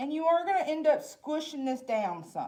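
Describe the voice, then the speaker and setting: A woman with a Southern accent talks at a moderate pace in a dark, mellow tone. Her pitch swings very widely. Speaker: library staff cooking host. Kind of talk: cooking tutorial. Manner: casual, chatty.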